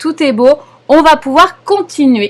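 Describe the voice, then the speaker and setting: Her intonation lively, a woman speaks. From Paris, France. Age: 40s. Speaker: knitting teacher. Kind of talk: live knitting class instruction. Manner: calm, patient.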